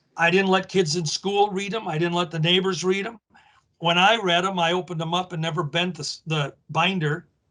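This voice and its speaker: A man with an American accent talks fairly quickly at a high pitch, his tone bright and sharp and his intonation fairly even. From Minnesota. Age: 70s. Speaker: wrestling historian. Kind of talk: casual interview chat.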